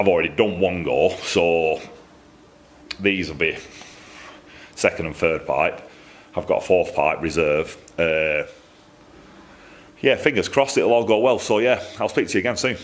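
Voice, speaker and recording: Speaking with a strong Lancashire accent at a moderate pace, a man leaves long, frequent pauses over noticeable background noise. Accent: thick Lancashire. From Lancashire, northern England. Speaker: exhaust fabricator. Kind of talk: workshop vlog. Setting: workshop. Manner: casual, repetitive.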